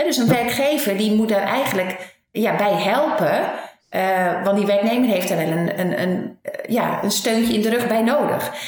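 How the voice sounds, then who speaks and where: In a room with audible echo, a woman talks at a fairly slow pace with a fairly high pitch. Her loudness stays very even. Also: ordinary pitch variation. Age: 50s. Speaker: HR consultant. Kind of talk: interview.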